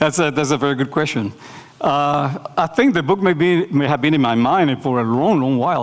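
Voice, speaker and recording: With a Spanish accent, a man talks at a fairly quick pace in a fairly high pitch with ordinary pitch variation, over noticeable background noise. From Nicaragua. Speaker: architecture professor. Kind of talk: lecture Q&A. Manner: hesitant, many fillers.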